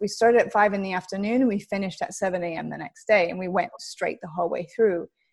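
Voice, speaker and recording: With an American accent, a woman talks in a normal speaking voice at a fairly quick pace with lively intonation. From US West Coast, Los Angeles. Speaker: football TV presenter. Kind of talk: interview.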